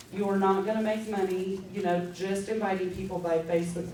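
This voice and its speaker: A woman at a medium pitch and fairly quick pace, with audible room echo and noticeable background noise. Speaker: direct sales team leader. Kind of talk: training talk to sales team. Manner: fast; animated.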